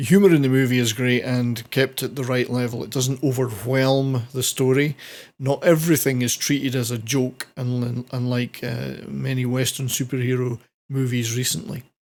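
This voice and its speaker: On a very clean recording with a silent background, a man with a Scottish accent speaks at a moderate pace, medium in pitch, with fairly even intonation. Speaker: film reviewer. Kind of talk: casual review talk to camera.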